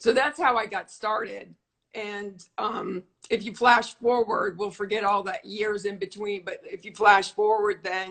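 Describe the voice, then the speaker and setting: A woman talks at a fairly slow pace in an ordinary speaking voice of medium pitch. Her intonation is fairly even, while her loudness swings a lot. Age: 60s. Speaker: modeling agent. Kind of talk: interview.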